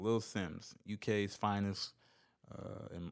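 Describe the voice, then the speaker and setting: A man's fairly low voice on a very clean recording with a silent background. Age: 20s. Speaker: podcast host. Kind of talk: solo casual commentary. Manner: animated.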